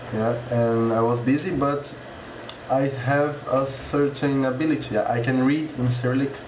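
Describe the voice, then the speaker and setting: A man with a Portuguese accent speaks at a moderate pace and medium pitch, with fairly even intonation and very even loudness, amid noticeable background noise and audible room echo. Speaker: language learner vlogger. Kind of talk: casual vlog monologue. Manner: halting, with many restarts.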